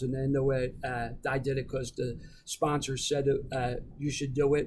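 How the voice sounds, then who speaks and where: Somewhat breathy, this voice belongs to a man. He speaks with a Philadelphia accent. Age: 60s. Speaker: recovering alcoholic, veteran. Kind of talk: casual interview, recovery testimony.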